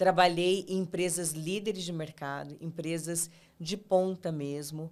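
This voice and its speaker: At a very slow pace, a woman with a São Paulo interior accent speaks at a fairly low pitch. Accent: Brazilian interior São Paulo. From interior of São Paulo state, Ribeirão Preto. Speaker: podcast host, leadership coach. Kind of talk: interview.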